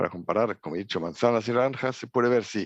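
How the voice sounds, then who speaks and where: A medium-pitched man with a German accent, ordinary pitch variation, a dry, close sound with no echo and a quiet background. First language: German (speaking Spanish). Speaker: trade logistics expert at international organization. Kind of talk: conference lecture. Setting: remote video link from office. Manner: halting, with fillers.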